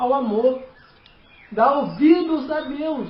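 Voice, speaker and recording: A man with a non-native accent and lively intonation, heard with audible room echo. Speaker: lay preacher. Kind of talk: sermon. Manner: halting.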